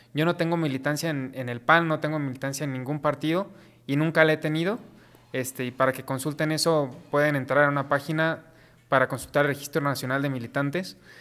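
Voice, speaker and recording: This man talks fairly quickly, his fairly high voice keeping a fairly even intonation. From Mexico. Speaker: political panelist; panel debater. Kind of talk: heated debate. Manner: halting. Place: studio.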